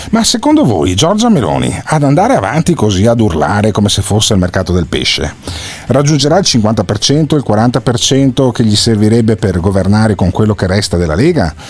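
Over noticeable background noise, a man with a fairly low pitch speaks at a moderate pace, his pitch swinging very widely while his loudness stays very even. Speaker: radio host. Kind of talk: casual chat. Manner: animated.

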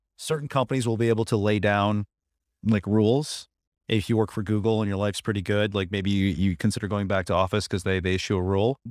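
A man with an American accent and a fairly low pitch talks very fast, with fairly even intonation and very even loudness. The recording is very clean, with a silent background, and the sound is dry and close, with no echo. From Buffalo, US. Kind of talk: casual interview.

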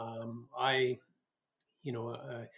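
A man with a Canadian Prairie accent. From rural Alberta, Canada. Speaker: former politician and physician. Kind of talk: interview.

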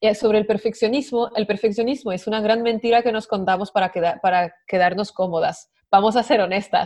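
Speaking fairly quickly with hardly any pauses, a woman with a French accent uses a fairly high pitch and ordinary pitch variation. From France. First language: French (speaking Spanish). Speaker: women's coach. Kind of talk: interview podcast.

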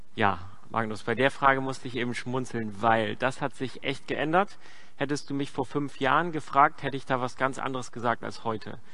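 Heard with audible room echo, a man of medium pitch talks at a moderate pace in a bright, sharp tone with ordinary pitch variation. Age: 30s. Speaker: pastor. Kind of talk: sermon.

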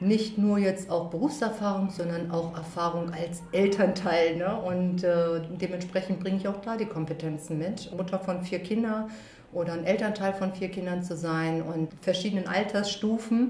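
With hardly any pauses, a woman with medium pitch and fairly even intonation speaks at a moderate pace amid audible room echo and noticeable background noise. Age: 40s. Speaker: school social worker. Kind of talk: casual interview. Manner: hesitant with fillers.

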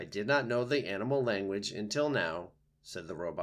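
What is heard is plain reading aloud.

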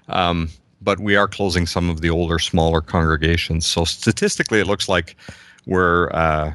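A very deep, low-pitched man at a moderate pace, fairly even intonation, quiet background. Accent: Canadian. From Canada, Southern Ontario. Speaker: pastor. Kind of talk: casual chat.

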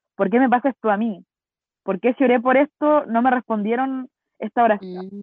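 A woman with a Chilean accent speaks at a fairly quick pace. Her pitch is fairly high, with ordinary variation. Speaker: podcast co-host. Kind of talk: casual chat.

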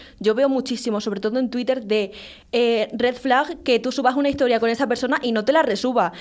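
A woman talks at a fairly quick pace in a high pitch, with fairly even intonation. The background is quiet. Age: 20s. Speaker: podcast host. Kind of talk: casual chat.

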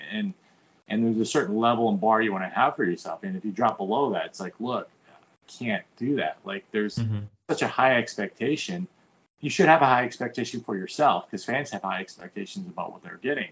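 A man with an American accent talks at a very fast pace, his pitch medium and his loudness swinging widely. His pitch also swings very widely. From US military bases. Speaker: comic book artist. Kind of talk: casual chat.

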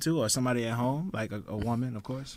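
Using a plain, everyday voice, a man speaks at a fairly quick pace with medium pitch and ordinary pitch variation. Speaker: podcast host. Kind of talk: casual banter podcast chat.

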